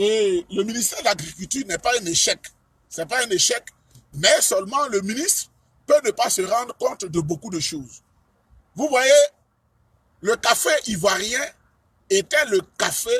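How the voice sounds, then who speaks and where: Bright and sharp in tone with lively intonation, the speech moves at a fairly slow pace with long, frequent pauses, in a dry, close sound with no echo. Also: man, high pitch for a man. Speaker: political speaker. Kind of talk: political speech.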